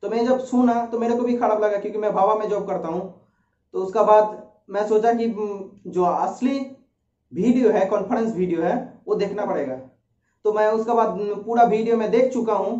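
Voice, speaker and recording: A man speaks in a high pitch with a Bengali accent. Room echo is audible. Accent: Bengali-accented Hindi. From India, West Bengal. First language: Bengali (speaking Hindi). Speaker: YouTuber, research centre employee. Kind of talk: informational talk. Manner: hesitant, with filler sounds.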